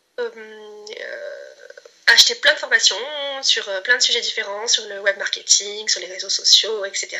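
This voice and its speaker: Very slow speech from a woman, with noticeable background noise. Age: 30s. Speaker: client giving a testimonial, aspiring entrepreneur. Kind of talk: testimony. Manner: halting, many hesitations and repetitions.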